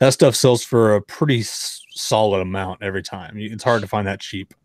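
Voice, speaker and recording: A man with an unremarkable speaking voice, pitched fairly low and held to a fairly even intonation. The sound is dry and close with no echo, on a very clean recording with a silent background. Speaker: autograph collector and seller. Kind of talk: casual chat.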